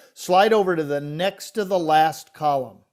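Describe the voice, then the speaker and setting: In a plain, everyday voice, a man speaks fairly high for his sex, with ordinary pitch variation. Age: 60s. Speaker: financial podcast co-host. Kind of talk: casual discussion of financial illustrations.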